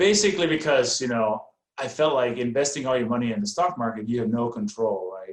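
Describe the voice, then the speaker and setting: Here a man speaks with a slight Danish accent at medium pitch. His pace is moderate and his intonation lively. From Denmark. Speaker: real estate investor. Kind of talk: podcast interview.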